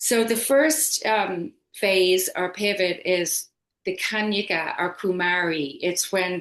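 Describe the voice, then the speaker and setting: A woman speaks at a very slow pace. Her pitch is medium, with ordinary variation. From Ireland. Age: 50s. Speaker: yoga teacher. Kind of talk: casual chat.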